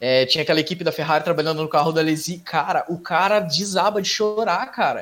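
The speech moves at a fairly quick pace with hardly any pauses. Pitch varies in an ordinary way. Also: man, high pitch for a man. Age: 30s. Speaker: podcast host. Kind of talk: casual chat.

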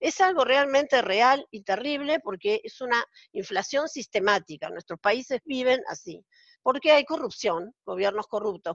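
A woman speaks in an ordinary speaking voice at a moderate pace. Her intonation is lively. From Argentina. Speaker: accountant. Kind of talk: casual interview.

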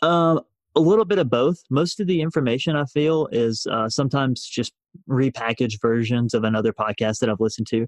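In a Southern US accent, a man at medium pitch talks at a fairly quick pace with lively intonation and very even loudness, the sound dry and close with no echo. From US South, rural north Alabama. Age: 20s. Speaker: financial independence blogger. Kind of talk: casual interview.

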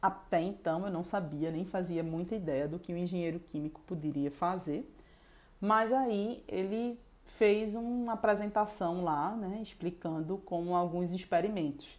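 With a plain, everyday voice, a woman talks at a fairly slow pace, her fairly low pitch showing ordinary variation. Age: 30s. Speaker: chemical engineer. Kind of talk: personal testimony.

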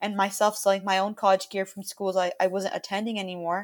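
A woman with a normal speaking voice talks at a medium pitch and a fairly quick pace. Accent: American. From Miami, Florida. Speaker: student entrepreneur. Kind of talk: interview. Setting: remote call.

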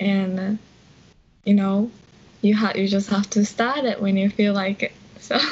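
Over noticeable background noise, a woman at a medium pitch speaks with monotone, flat intonation and long, frequent pauses. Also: moderate pace. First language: Japanese. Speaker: English learning YouTuber. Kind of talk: casual interview.

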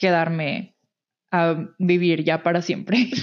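Her intonation fairly even, a woman speaks at a medium pitch with a Mexican accent. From Mexico. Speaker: podcast co-host. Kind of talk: casual chat.

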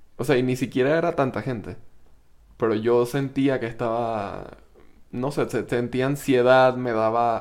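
With long, frequent pauses, a man talks at a medium pitch and fairly even intonation. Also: fairly slow pace. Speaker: podcast co-host. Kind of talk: casual chat. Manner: speaks very quietly.

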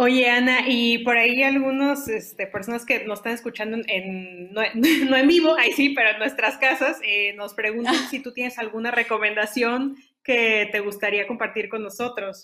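A woman speaks at a moderate pace in a fairly high voice, with ordinary pitch variation. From Mexico, Saltillo, Coahuila. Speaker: podcast host. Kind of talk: interview.

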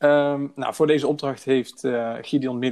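A fairly slow pace with monotone, flat intonation. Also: man. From Breda, Netherlands. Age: 20s. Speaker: project manager. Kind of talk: podcast interview.

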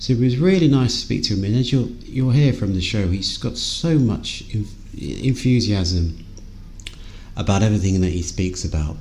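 Noticeable background noise surrounds a man with an English accent. He speaks at a moderate pace and medium pitch with lively intonation. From England. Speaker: podcast host. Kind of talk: interview; scripted intro. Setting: call.

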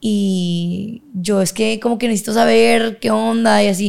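Lively intonation at a very slow pace, on a very clean recording with a silent background. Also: woman. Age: 20s. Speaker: university student and cycling coach. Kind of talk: casual interview.

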